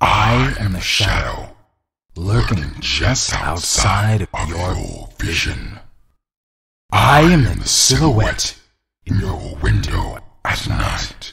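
In a put-on character voice, a raspy man talks very slowly, leaving long, frequent pauses. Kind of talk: ASMR roleplay. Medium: audio drama. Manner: offended, contemptuous; smug, teasing, menacing.

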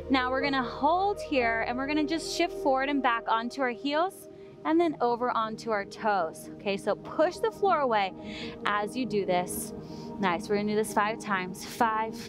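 A woman speaks at a moderate pace in a dry, echo-free sound while music plays clearly in the background. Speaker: yoga instructor. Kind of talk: tutorial. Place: beach. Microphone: headset.

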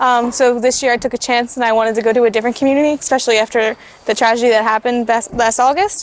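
A high-pitched woman with an American accent at a very fast pace, in a dry sound with no echo. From Philadelphia area, US. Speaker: volunteer, engineering student. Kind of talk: testimonial interview. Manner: hesitant, many fillers. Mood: earnest, positive. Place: garden.

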